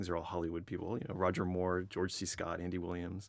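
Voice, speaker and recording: Someone speaks at a fairly quick pace. The recording is very clean, with a silent background. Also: man. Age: 40s. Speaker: interviewer. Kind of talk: recorded interview. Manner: halting.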